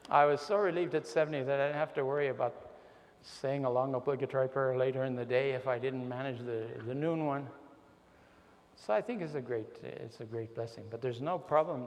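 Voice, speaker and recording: Talking at a fairly quick pace over noticeable background noise, a man uses a medium pitch with ordinary pitch variation. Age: 70s. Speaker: religious speaker. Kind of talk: talk answering audience questions.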